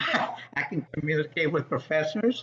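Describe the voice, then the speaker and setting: A man's fairly high voice comes through against noticeable background noise. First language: Spanish. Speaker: political candidate, military veteran. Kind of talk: political town hall answer. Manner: halting, many fillers.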